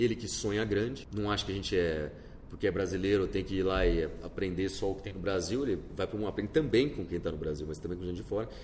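Audible room echo surrounds a man speaking at a very fast pace in a somewhat breathy voice. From Brazil, Campinas (interior of São Paulo state). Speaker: entrepreneur. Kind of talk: interview. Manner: animated.

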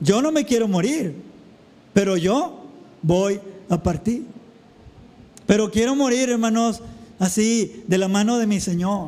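Amid noticeable background noise and audible room echo, a man with a high pitch speaks at a fairly slow pace with ordinary pitch variation and long, frequent pauses. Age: 40s. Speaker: pastor. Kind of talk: sermon.

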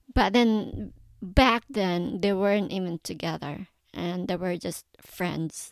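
This woman talks at a very slow pace, her medium pitch showing ordinary variation. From Philippines, Mindanao (Davao). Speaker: podcast host. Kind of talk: personal storytelling monologue.

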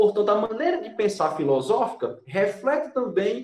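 Very wide pitch swings mark this voice, heard with audible room echo. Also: man. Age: 30s. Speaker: law professor. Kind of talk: explanatory lecture-style conversation.

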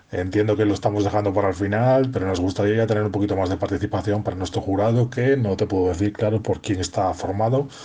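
A man's fairly low, dark, mellow, somewhat breathy voice at a very fast pace, with hardly any pauses, very even loudness and fairly even intonation. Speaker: poetry contest organizer. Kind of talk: recorded voice message.

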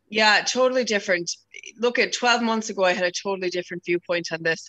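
The speech moves at a fairly quick pace with fairly even intonation, in a dry, close sound with no echo. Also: woman. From Chicago, US, then Swinford, Ireland. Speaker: business owner, event organizer. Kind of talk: casual interview.

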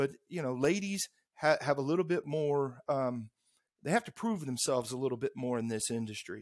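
A man with an American accent and a plain, everyday voice talks at a moderate pace with lively intonation. His pitch is fairly high, and the sound is dry and close, with no echo. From US Midwest, St. Louis, Missouri. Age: 50s. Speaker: construction technology salesman. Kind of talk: casual interview.

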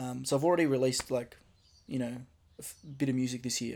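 Fairly quick speech in an Australian accent. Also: man. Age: 20s. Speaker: rapper and podcast host. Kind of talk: solo casual monologue. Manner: casual, with many filler ums.

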